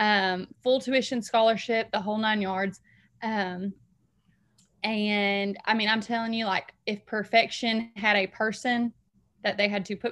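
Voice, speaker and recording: With a Southern US accent, the speech is monotone and flat at a fairly slow pace on a very clean recording with a silent background. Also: woman. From Alabama, Huntsville. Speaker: school social worker. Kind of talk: casual interview chat.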